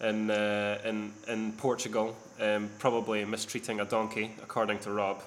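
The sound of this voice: A man with a fairly bright tone speaks at a moderate pace amid audible room echo.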